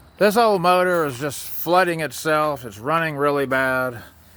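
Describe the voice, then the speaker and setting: A man's bright, sharp tone carries audible room echo. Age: 50s. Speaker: home mechanic. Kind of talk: casual garage vlog. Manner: casual, halting.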